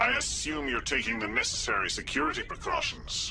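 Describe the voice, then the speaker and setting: A man's put-on character voice at a fairly quick pace, with clear background noise. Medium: video game. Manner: cold, curt.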